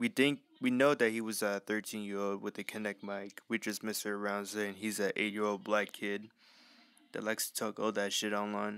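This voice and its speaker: At a moderate pace, a man with a fairly low pitch speaks in flat, monotone intonation with a dry sound and no echo. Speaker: gamer filming his TV. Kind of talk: casual gaming commentary. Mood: joking, playful.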